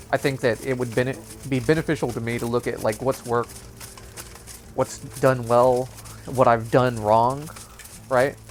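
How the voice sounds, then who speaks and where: Against noticeable background noise, a man speaks at a moderate pace in a flat monotone. His speech has long, frequent pauses. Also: medium pitch for a man. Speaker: gaming YouTuber. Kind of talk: gameplay commentary. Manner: casual, filler-heavy; halting, stuttering.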